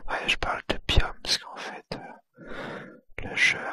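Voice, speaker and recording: Someone whispers in a relaxed tone. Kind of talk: ASMR gameplay commentary, whispered. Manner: whispered, soft, relaxed.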